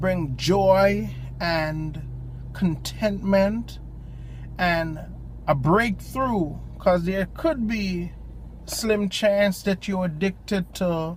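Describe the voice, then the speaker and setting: A man with a strong Jamaican accent, very slow pace, and long, frequent pauses. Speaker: lay preacher. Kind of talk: informal devotional talk. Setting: in a parked car at a park. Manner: hesitant, many ums.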